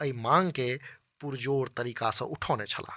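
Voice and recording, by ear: A man at medium pitch and moderate pace, his tone bright and sharp, in a very clean recording with a silent background and a dry, close sound with no echo.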